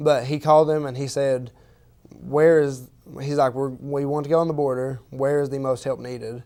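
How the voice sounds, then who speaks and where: With a dark, mellow tone and a fairly high pitch, the man talks at a moderate pace in a monotone, flat delivery. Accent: Appalachian. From Eastern Kentucky. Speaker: university student. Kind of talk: interview. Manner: halting.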